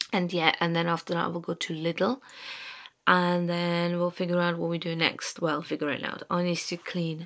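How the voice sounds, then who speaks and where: A woman with a fairly low pitch against a quiet background. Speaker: vlogger. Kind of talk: casual vlog chat. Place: home room. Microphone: phone near.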